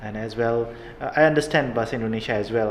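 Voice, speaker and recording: There is audible echo in the room. The intonation stays fairly even. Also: man. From Nepal. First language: Nepali. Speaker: professor. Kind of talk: interview. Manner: halting.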